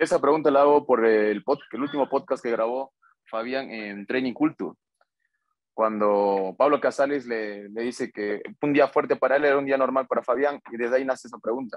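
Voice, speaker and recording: Against a quiet background, a man with a Bolivian accent talks at a medium pitch. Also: ordinary pitch variation, moderate pace, dry sound with no echo. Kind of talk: interview question. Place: home room. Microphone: video call.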